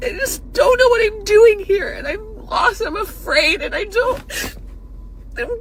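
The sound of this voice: A put-on character voice from a woman, whiny and extremely high-pitched, at a fairly slow pace over light background noise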